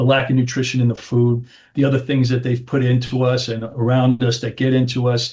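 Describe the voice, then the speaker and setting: A man talks at a fairly quick pace in a somewhat breathy voice with monotone, flat intonation. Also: medium pitch for a man. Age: 60s. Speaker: chiropractor. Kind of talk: interview.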